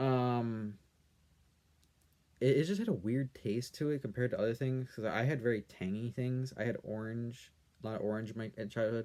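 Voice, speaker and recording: Soft-spoken and at a fairly quick pace, a man talks in a medium pitch. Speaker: YouTuber answering comments. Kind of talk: casual chat. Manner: monotone. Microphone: quiet audio, no proper microphone.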